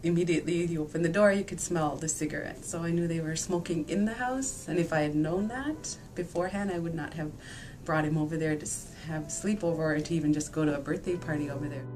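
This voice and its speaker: Over noticeable background noise, a woman with a fairly low pitch speaks at a very fast pace with ordinary pitch variation. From Nain, Labrador, Canada. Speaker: interviewee. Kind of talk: interview answer.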